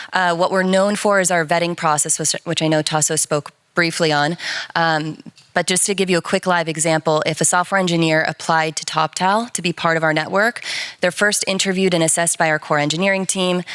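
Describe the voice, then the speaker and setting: A plain, everyday voice with an American accent moves at a fairly quick pace with fairly even intonation, the sound dry and close with no echo. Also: woman, fairly low pitch for a woman. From United States. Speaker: enterprise account lead at a freelance platform. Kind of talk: panel discussion.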